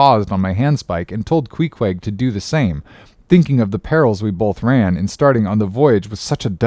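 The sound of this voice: Lively intonation animates an unforced reading voice.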